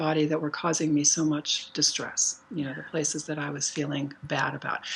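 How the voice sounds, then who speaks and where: With noticeable background noise behind her, a woman speaks at a moderate pace in a very deep, low voice. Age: 60s. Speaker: artist and workshop teacher. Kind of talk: casual chat. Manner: halting.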